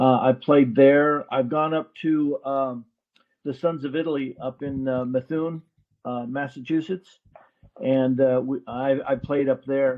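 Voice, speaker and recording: Here a man with a fairly high pitch speaks at a fairly slow pace in a flat monotone. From California, Bay Area. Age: 70s. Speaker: bocce tournament player. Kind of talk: casual interview. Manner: halting, many fillers.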